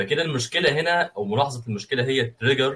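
A man speaks at a very fast pace. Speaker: podcast host. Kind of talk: casual interview.

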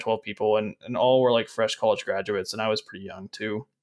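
In an American accent, the speech comes at a very fast pace, dry and close with no echo, on a very clean recording with a silent background. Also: man. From Arkansas, US South. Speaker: podcast host. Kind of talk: casual interview chat.

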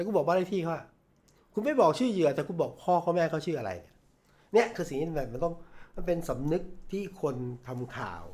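This man's voice sits high in pitch. The intonation moves in a lively way. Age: 50s. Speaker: veteran journalist and former media executive. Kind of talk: interview.

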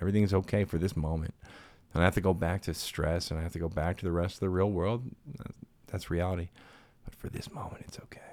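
Very fast yet broken by long, frequent pauses, a man's very deep, low voice keeps fairly even intonation while swinging widely in loudness. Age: 30s. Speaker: podcast host. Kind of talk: casual chat.

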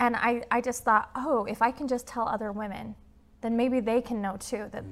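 Here a woman talks with a Utah accent. Her pitch is fairly high. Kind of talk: interview. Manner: fast talker; animated.

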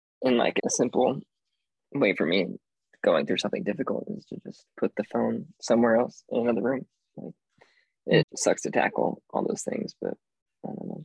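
A man at a moderate pace, with big swings in loudness and long, frequent pauses, in a dry, close sound with no echo. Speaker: podcast co-host. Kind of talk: casual chat.

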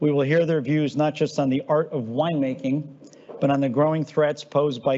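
This man has a normal speaking voice, pitched fairly high, talking at a fairly quick pace with fairly even intonation. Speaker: company CEO hosting client event. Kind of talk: moderated panel discussion. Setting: live event with audience.

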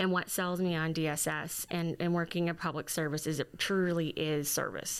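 A woman with an American accent and an unremarkable speaking voice talks at a moderate pace in a fairly low pitch. The recording is very clean, with a silent background. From Southeast Missouri (Fredericktown). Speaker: lawyer and government division director. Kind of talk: interview.

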